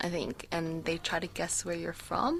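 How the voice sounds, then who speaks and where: Recorded very cleanly against total silence, a woman talks fairly slowly. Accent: American. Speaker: student radio host. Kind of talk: casual chat. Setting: radio studio.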